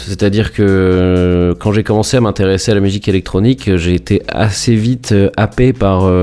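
A man's fairly low voice with a dark, mellow tone. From France, Rouen (Normandy). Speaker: electronic music producer. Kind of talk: interview. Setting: internet call from home. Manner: halting, many repetitions and fillers.

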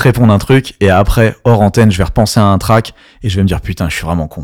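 In a very clean recording with a silent background, a man with a plain, everyday voice talks at a fairly quick pace, his fairly low pitch showing ordinary variation. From France, Strasbourg (Alsace). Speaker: DJ. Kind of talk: casual interview. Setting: in a venue in Paris.

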